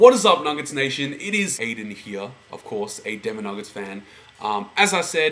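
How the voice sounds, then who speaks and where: Speaking in an Australian accent, a man with a fairly high pitch shows very wide pitch swings and big swings in loudness. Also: moderate pace. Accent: Australian, noticeable. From Australia, Melbourne. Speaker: sports fan vlogger. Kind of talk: casual monologue.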